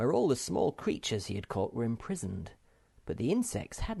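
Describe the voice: The text is read out loud. The reading is plain.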